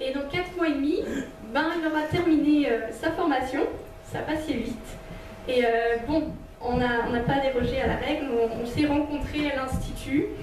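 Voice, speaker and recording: A woman speaks in a high voice with ordinary pitch variation, at a fairly slow pace broken by long, frequent pauses. Light background noise and audible room echo surround her. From Switzerland. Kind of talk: testimony and teaching talk. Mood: warm, smiling. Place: hall.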